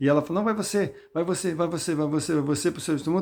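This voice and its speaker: Recorded very cleanly against a silent background, a man talks fairly quickly at a fairly high pitch with ordinary pitch variation. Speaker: lay preacher. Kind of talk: Bible talk with personal testimony. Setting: self-recorded video. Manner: conversational, addresses listeners directly.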